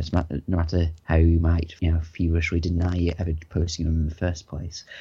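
A man's very deep, low voice, dark and mellow in tone, somewhat breathy, monotone and flat, at a fairly quick pace over a quiet background. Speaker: podcast host. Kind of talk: casual chat.

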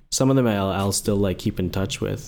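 Fairly low-pitched man's voice with a dark, mellow tone. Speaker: podcast co-host, UI/UX designer. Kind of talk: casual chat.

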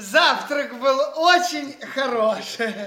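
Putting on a character voice, a man speaks at an extremely high pitch with a bright, sharp tone and ordinary pitch variation. He talks at a slow pace amid audible room echo.

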